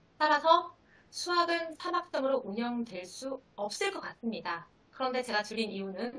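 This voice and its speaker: A woman uses a raised, projected voice at a high pitch with very wide pitch swings. Her tone is bright and sharp. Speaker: high school math teacher. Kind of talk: seminar presentation.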